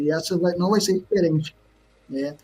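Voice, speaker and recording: A man talks in a Rio de Janeiro accent. He moves at a fairly quick pace with ordinary pitch variation. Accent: carioca. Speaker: entrepreneur. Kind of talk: podcast interview.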